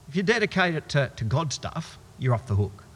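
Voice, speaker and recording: Fairly high-pitched male voice with very wide pitch swings and vocal fry. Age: 50s. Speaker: pastor. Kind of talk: sermon.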